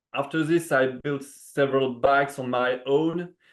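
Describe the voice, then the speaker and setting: With ordinary pitch variation, a man talks very slowly. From France. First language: French. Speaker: bamboo bike frame builder. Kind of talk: interview. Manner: halting, many fillers.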